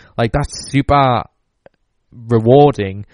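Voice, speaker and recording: A man with a Geordie accent talks at a fairly slow pace, his intonation fairly even. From northeast England, Newcastle. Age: 20s. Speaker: podcast host. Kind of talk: solo podcast monologue.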